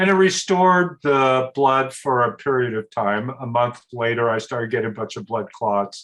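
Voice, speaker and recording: With an American accent, the speaker moves at a moderate pace with lively intonation and hardly any pauses. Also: man, medium pitch for a man. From US Pacific Northwest, Portland. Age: 60s. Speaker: entrepreneur and yoga enthusiast. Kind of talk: interview conversation.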